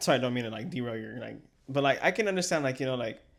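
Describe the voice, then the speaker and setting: An American-accented man talks at a very fast pace and medium pitch. His intonation is lively. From Texas. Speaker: podcast co-host. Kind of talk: casual chat.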